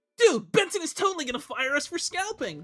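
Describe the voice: Over music in the background, a put-on character voice speaks at a high pitch and a fairly quick pace.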